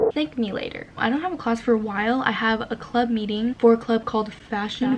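The speech moves at a fairly quick pace over noticeable background noise. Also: woman. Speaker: student vlogger. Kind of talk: casual vlog chat. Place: home room.

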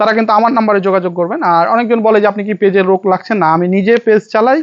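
A man speaks with a high pitch and fairly even intonation. The sound is dry and close, with no echo. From Bangladesh, Rajshahi. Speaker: building design contractor. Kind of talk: promotional vlog to camera. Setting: on-site at finished building.

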